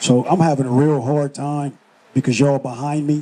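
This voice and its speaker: This is a man with an American accent and an ordinary speaking voice. He talks at a moderate pace with medium pitch and ordinary pitch variation. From Los Angeles, California. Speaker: spoken word artist, army retiree. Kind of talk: interview answer.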